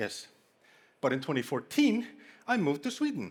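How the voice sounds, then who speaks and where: In a very clean recording with a silent background, a man with a strong Icelandic accent speaks with very wide pitch swings. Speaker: conference speaker. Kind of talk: humorous conference talk. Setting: stage with audience.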